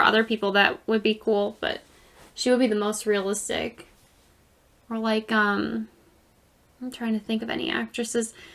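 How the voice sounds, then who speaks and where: Loud and at a moderate pace, a woman speaks with monotone, flat intonation and long, frequent pauses. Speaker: podcast co-host. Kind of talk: casual chat.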